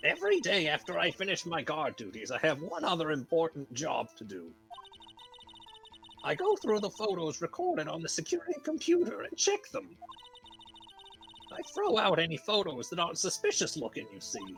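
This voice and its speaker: A woman uses a put-on character voice, fairly low in pitch. She moves at a moderate pace with long, frequent pauses. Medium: actual play. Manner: scolding, fussy.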